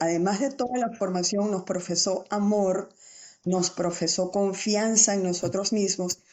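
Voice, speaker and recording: Using an ordinary speaking voice, a woman of medium pitch talks at a fairly slow pace with fairly even intonation. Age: 60s. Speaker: teacher. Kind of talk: interview.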